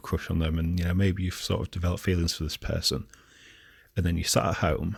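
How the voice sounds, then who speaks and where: Recorded very cleanly against a silent background, a man speaks somewhat breathily at a fairly quick pace. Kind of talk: casual talk to camera, rant.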